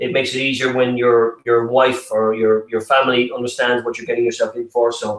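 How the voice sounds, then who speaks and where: This man has an Irish accent and a medium pitch. He talks at a fairly quick pace. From Ireland. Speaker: property development presenter. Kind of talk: online webinar presentation. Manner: halting, many fillers and repetitions.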